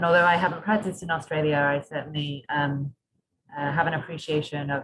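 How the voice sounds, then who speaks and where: A woman in a British accent, very deep and low in pitch, fairly quick, with fairly even intonation and big swings in loudness. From UK. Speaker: doctor and recruitment manager. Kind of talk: webinar presentation.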